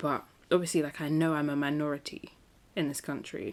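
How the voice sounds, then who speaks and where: Speaking with a London accent, a woman has a very deep, low pitch. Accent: British (London). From South London, England. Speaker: podcast host. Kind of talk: casual monologue. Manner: animated.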